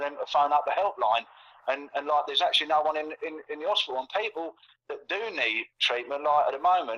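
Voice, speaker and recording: Speaking at a very fast pace, a man with a fairly high pitch uses ordinary pitch variation. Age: 60s. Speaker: conspiracy commentator. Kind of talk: casual chat. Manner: halting.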